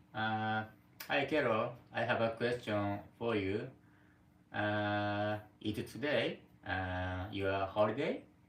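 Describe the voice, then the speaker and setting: Over noticeable background noise, a man with a Japanese accent speaks at a very slow pace and fairly low pitch, with fairly even intonation and long, frequent pauses. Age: 40s. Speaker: live streamer. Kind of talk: casual chat. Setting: live stream from home. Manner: halting.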